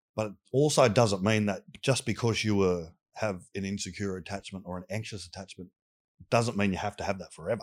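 Speaking at a fairly quick pace, a man with a fairly low pitch and ordinary pitch variation is heard in a very clean recording with a silent background. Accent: Australian. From Australia, southwestern Sydney. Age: 40s. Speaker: youth mentor. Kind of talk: casual interview chat. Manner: halting, with restarts.

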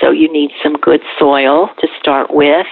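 Noticeable background noise sits behind a woman with an American accent. She talks at a fairly slow pace. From Ohio. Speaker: community garden volunteer coordinator. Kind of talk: interview.

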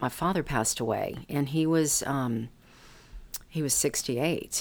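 This woman has a very deep, low pitch with ordinary pitch variation. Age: 60s. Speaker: podcast host. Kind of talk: interview. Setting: office.

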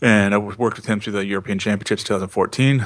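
A man with an American accent talks at a fairly quick pace, his fairly low pitch carried on fairly even intonation. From US Pacific Northwest, Seattle. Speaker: hammer throwing coach and athlete. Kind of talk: interview.

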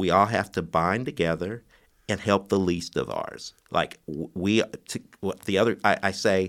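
A normal speaking voice, with an American accent, at a fairly slow pace and fairly even intonation. The recording is very clean, with a silent background. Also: man. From US Midwest (Bloomington, Indiana). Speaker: mayoral candidate and realtor. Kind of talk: interview.

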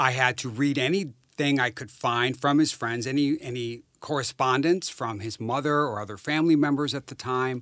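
In an ordinary speaking voice with an American accent, a man talks at a moderate pace and medium pitch, with ordinary pitch variation and hardly any pauses, on a very clean recording with a silent background. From rural northern Wisconsin. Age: 50s. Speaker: social worker and amateur investigator. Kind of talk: interview.

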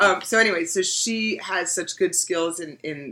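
With noticeable background noise behind her, a woman talks with an American accent. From New York. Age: 40s. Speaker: veterinarian. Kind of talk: casual chat. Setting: recorded at a conference. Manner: talkative.

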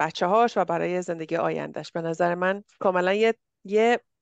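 A plain, everyday voice at a moderate pace, with fairly even intonation and a dry, close sound with no echo over a quiet background. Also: woman. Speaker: podcast host. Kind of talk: casual interview chat.

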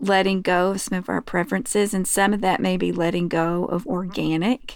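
Recorded very cleanly over a silent background, a woman with an American accent uses a normal speaking voice at a medium pitch and moderate pace. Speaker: podcast co-host. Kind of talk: casual chat.

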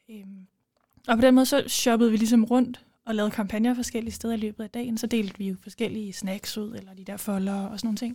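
A woman's fairly high, somewhat breathy voice with a dark, mellow tone, very fast and monotone, with big swings in loudness. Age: 20s. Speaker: law student and former parliamentary candidate. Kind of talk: casual interview.

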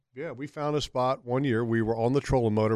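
A man with a normal speaking voice speaks at medium pitch with fairly even intonation on a very clean recording with a silent background. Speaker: radio host. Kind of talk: casual chat.

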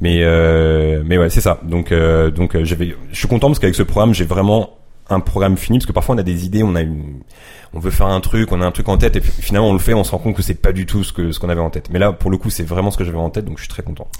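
Speaking at a very fast pace, the man has a very deep, low pitch. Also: ordinary pitch variation. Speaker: YouTuber and photographer. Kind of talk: casual chat.

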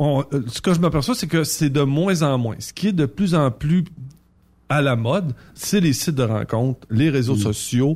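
A man talks at a fairly slow pace with long, frequent pauses and lively intonation. His voice sits fairly high and sounds somewhat breathy. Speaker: trucking recruiter and dating guest. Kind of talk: casual chat. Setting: studio.

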